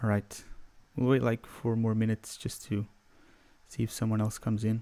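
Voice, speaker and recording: Soft-spoken and monotone with flat intonation, a man talks at a fairly quick pace in a dark, mellow tone. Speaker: music producer; livestreamer. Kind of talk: livestream tutorial. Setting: livestream from home computer. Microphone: studio mic.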